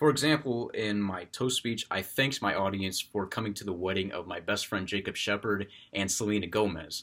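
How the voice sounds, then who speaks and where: In a very clean recording with a silent background, a man speaks at a fairly quick pace. His fairly low pitch shows ordinary variation. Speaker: college student. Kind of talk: class speech. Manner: properly paced; loud, projected.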